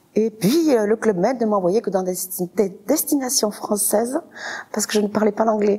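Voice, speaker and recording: Noticeable background noise sits under the talking. The delivery keeps a moderate pace. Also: woman. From southern France, Toulouse area (Saint-Orens). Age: 40s. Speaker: restaurant owner. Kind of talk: interview. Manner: hesitant, many fillers.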